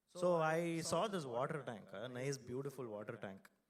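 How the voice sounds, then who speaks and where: The speaker is a man. He talks with a Kannada accent. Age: 40s. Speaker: design studio founder and speaker. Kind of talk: keynote talk. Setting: stage with audience. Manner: loud.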